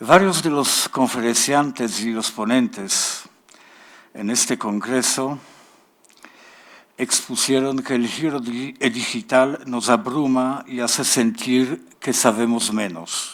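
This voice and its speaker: A man with a Polish accent speaks at a very slow pace. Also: medium pitch for a man, ordinary pitch variation. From Poland. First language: Polish (speaking Spanish). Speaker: literature professor. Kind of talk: conference talk.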